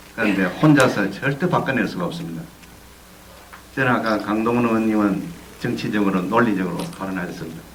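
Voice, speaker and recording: Over noticeable background noise and audible room echo, the speaker talks at a fairly quick pace with lively intonation, broken by long, frequent pauses. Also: man, fairly low pitch for a man. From South Korea, Busan. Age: 60s. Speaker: whistleblower, former election commission employee and union leader. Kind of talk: speech at a screening event.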